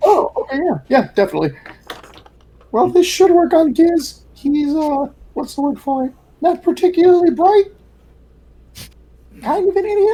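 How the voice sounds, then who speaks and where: A female-sounding voice puts on a squeaky character voice at an extremely high pitch for a woman. She keeps a moderate pace but leaves long, frequent pauses. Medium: actual play. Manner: hesitant, filler-heavy.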